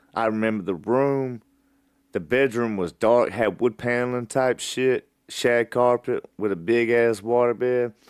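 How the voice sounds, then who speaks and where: With an Alabama accent, a man speaks at a fairly slow pace and with fairly even intonation. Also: medium pitch for a man, dry, close sound with no echo. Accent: Southern US (Alabama). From US South. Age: 30s. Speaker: podcast host. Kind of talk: personal storytelling monologue.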